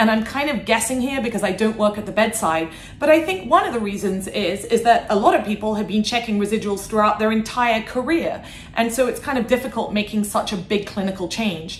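A woman talks at a fairly quick pace, with audible room echo and light background noise. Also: ordinary pitch variation. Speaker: guest. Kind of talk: interview answer. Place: office.

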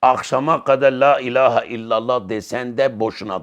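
The clip of a man speaking is a very clean recording with a silent background. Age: 50s. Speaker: Islamic religious teacher. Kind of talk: religious lecture.

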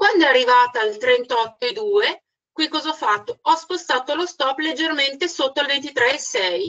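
A woman speaks at a fairly slow pace in a high pitch. Her pitch swings very widely. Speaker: trading instructor. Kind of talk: webinar presentation. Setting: online webinar.

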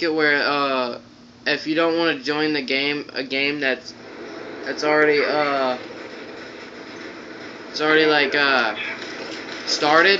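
Over noticeable background noise, a man speaks at a fairly slow pace. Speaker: gamer. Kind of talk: casual gameplay commentary. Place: home room. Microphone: phone near.

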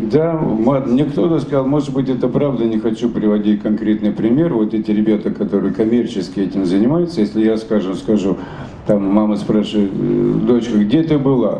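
A man speaks at very even loudness. Audible room echo and light background noise surround him. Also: ordinary pitch variation, moderate pace. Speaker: satirist writer and stage performer. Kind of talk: interview answer. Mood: animated, humorous. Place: hall. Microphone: handheld.

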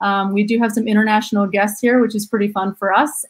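A woman speaks at a fairly quick pace with a somewhat breathy voice. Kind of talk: webinar presentation. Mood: friendly, upbeat. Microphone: webcam.

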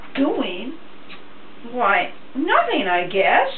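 Audible room echo along with light background noise. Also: woman. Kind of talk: scripted dramatic monologue addressed to God. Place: kitchen. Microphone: camera far.

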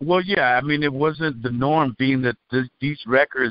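An American man speaks at a moderate pace in an unremarkable speaking voice. His pitch varies in an ordinary way. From Cuba, raised in the US. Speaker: rapper. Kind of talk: interview.

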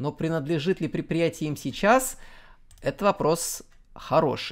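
In a very clean recording with a silent background, the words come out very slowly. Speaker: transport video blogger. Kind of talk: scripted narration.

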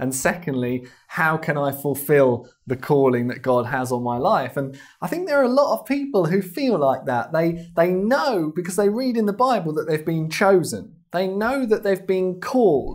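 A man with a southern English accent speaks at a high pitch with very wide pitch swings. He takes hardly any pauses, and the background is quiet. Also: moderate pace. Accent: English (southern England). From England, London. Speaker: missionary and ministry founder. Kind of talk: TV interview. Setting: TV studio. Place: studio. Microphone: lapel.

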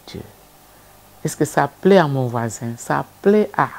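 Her pitch sits very deep and low as this woman talks. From DR Congo. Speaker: civil society leader; guest. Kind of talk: TV interview. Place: studio.

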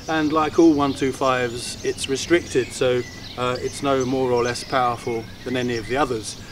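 With clear background noise behind him, a man talks at a moderate pace and medium pitch with fairly even intonation.

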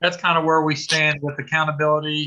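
Over a quiet background, a man talks at a moderate pace in a bright, sharp tone. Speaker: school administrator reporting to board. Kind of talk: meeting report. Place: home room. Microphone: video call.

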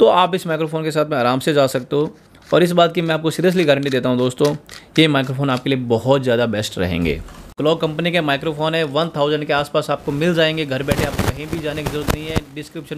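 At a moderate pace, a man with a fairly high pitch speaks with ordinary pitch variation against light background noise. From India. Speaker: YouTuber reviewing audio gear, DJ and musician; musician reviewing microphones. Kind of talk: product review. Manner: animated. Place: studio.

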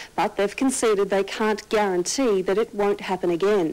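With an Australian accent, a woman of medium pitch speaks at a moderate pace. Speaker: news presenter. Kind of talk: news reading. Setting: TV studio. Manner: formal. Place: studio.

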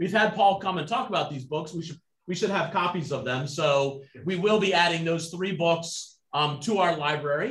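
With audible room echo, a man speaks at a high pitch and ordinary pitch variation. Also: quiet background. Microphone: video call.

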